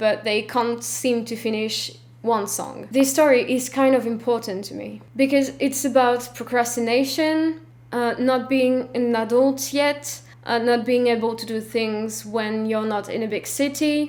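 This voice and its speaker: A woman speaks with a French accent at a fairly slow pace. Her fairly high voice shows ordinary pitch variation. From France. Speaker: film vlogger. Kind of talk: scripted vlog talk. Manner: stiff, reading from script.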